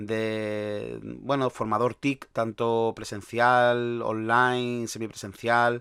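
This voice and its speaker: A man's fairly low-pitched voice comes through in a very clean recording with a silent background. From Andalusia, Spain. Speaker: podcast host, sysadmin. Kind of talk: solo podcast monologue. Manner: talkative, many fillers and restarts.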